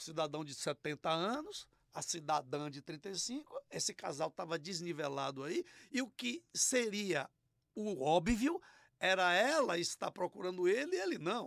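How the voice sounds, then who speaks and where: In a very clean recording with a silent background and a dry, close sound with no echo, a man speaks fairly slowly at a high pitch with very wide pitch swings. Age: 60s. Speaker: podcast host. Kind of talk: podcast interview. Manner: casual, colloquial.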